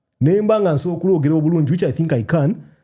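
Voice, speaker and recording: A man talks very fast with lively intonation, his voice fairly high-pitched but dark and mellow in tone. The recording is very clean, with a silent background. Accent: Ugandan. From Uganda. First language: Luganda. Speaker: video creator. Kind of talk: casual chat.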